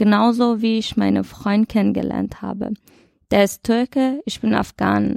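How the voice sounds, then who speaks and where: Speaking at a very slow pace, a woman is heard in a dry, close sound with no echo on a very clean recording with a silent background. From Iran. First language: Dari/Persian (speaking German). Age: 20s. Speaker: podcast presenter, job training participant. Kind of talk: casual chat.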